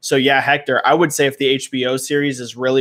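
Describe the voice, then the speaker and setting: A man speaks in a normal speaking voice at a fairly quick pace. His intonation stays fairly even. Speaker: gaming industry commentator, livestream host. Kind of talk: live stream chat, answering viewer questions. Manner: casual, many fillers.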